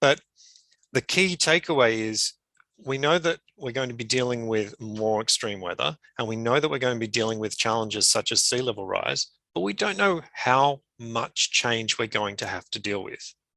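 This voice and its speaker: Someone speaks with an Australian accent in a bright, sharp tone, at a moderate pace with lively intonation. The sound is dry and close with no echo. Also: man, medium pitch for a man. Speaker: climate adaptation expert, conference presenter. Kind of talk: conference presentation. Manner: frequent fillers and repetitions.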